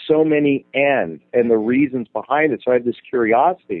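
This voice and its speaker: A man with an ordinary speaking voice talks at a moderate pace in a fairly high pitch. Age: 40s. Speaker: dating and relationship coach. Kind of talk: interview.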